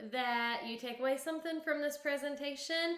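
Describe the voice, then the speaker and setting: A woman's lively, up-and-down delivery in a Southern US accent, with audible room echo and noticeable background noise. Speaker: kindergarten teacher. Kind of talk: conference presentation.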